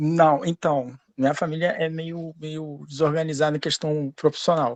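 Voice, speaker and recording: This man talks at a fairly slow pace in a fairly high pitch, his intonation flat and monotone. His loudness swings a lot against a quiet background. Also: dry, close sound with no echo. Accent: Rio de Janeiro. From Brazil, Rio de Janeiro. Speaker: student in an online class, lawyer. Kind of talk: casual personal story in live class. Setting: live online class.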